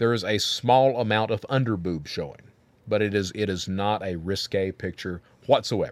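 A man talks at a fairly quick pace in a normal speaking voice. His pitch is fairly low, with ordinary pitch variation. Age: 50s. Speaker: podcast host. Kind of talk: casual chat.

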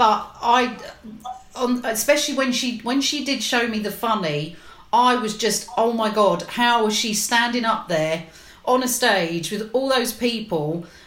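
With a London accent, a woman speaks at a fairly slow pace amid noticeable background noise and audible room echo. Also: fairly high pitch for a woman, ordinary pitch variation. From West London. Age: 50s. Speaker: legal professional. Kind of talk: casual chat.

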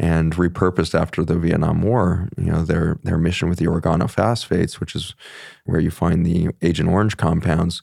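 A man with an American accent talks at a fairly quick pace, his very deep, low pitch paired with a dark, mellow tone. His loudness stays very even. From Colorado, US West. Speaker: physician. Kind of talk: interview conversation.

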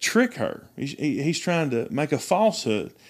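A man speaks with an East Tennessee accent at a moderate pace. His pitch swings very widely. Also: very clean recording, silent background. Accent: Southern US (East Tennessee). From US South, East Tennessee. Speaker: pastor. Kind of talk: casual chat.

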